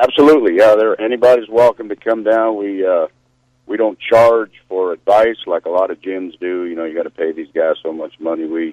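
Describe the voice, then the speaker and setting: A man with a fairly low pitch and ordinary pitch variation speaks in a plain, everyday voice, recorded with a dry, close sound and no echo. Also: fairly quick pace. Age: 60s. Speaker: powerlifter. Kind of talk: radio interview.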